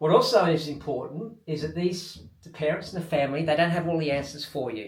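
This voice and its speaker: A fairly high-pitched man with an Australian accent, a fairly quick pace and ordinary pitch variation, with audible room echo. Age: 60s. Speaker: triathlon coach and athlete. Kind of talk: video diary talk to camera. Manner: casual.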